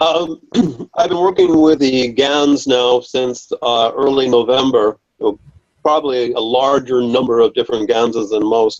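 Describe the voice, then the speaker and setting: A man with a plain, everyday voice speaks at a fairly slow pace, his medium pitch showing ordinary variation. The sound is dry and close, without echo. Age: 60s. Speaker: audience member asking a question. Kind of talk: question from audience.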